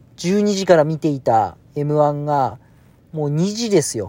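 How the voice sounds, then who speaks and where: Very slowly, a man talks in a fairly high pitch with a dark, mellow tone and lively intonation. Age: 40s. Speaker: podcaster. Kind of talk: casual monologue. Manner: hesitant with many fillers.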